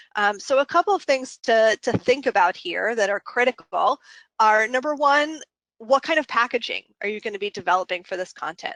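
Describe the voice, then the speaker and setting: In a plain, everyday voice, a woman talks at a moderate pace with fairly high pitch and lively intonation, in a dry, close sound with no echo. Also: quiet background. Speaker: consultant presenting a webinar. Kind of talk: webinar presentation. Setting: online webinar.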